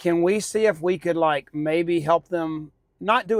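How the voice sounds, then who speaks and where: A man's unremarkable speaking voice, fairly high in pitch with fairly even intonation, on a very clean recording with a silent background. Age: 60s. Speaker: podcast co-host. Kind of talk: casual chat.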